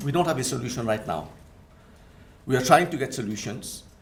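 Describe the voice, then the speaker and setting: There is audible room echo around a man speaking. He has a French accent and lively intonation. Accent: French-tinged. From Mauritius. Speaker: Islamic finance scholar and lecturer. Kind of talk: conference presentation.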